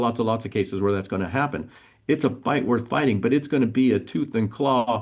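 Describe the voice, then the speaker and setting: A man with an unremarkable speaking voice, medium in pitch, with ordinary pitch variation. He talks at a moderate pace against a quiet background. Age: 50s. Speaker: police school resource officer. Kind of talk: interview.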